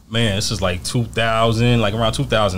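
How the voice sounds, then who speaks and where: With a New York accent, a man speaks at a fairly low pitch over light background noise. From New York, Mount Vernon. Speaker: podcast guest. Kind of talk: casual interview. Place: shop. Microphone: studio mic.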